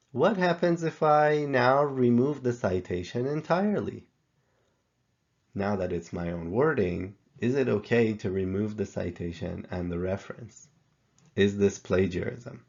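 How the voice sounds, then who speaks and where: Speaking with a non-native accent, a man uses a medium pitch with very wide swings. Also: fairly slow pace. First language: not English. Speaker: professor. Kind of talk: tutorial.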